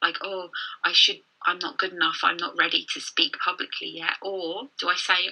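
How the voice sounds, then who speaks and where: A woman speaks at a medium pitch with fairly even intonation. She has a southern English accent. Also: moderate pace. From London, England. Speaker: confidence coach. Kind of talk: casual chat.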